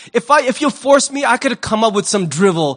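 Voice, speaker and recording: A man's animated, high-pitched voice with very wide pitch swings. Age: 50s. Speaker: pastor. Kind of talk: sermon. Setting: church.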